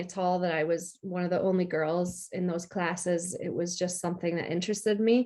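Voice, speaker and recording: A woman's flat, monotone delivery at a moderate pace. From US, upstate New York. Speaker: freelance technology communicator. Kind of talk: interview.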